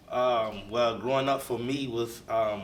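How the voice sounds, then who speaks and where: Noticeable background noise together with audible room echo. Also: man. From US South, north Florida. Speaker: bishop. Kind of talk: interview.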